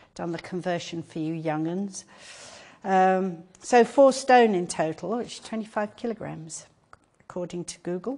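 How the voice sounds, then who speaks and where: Medium in pitch with ordinary pitch variation, a woman with an English accent speaks at a moderate pace with big swings in loudness. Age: 70s. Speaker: patient advocate. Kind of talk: lecture. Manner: animated.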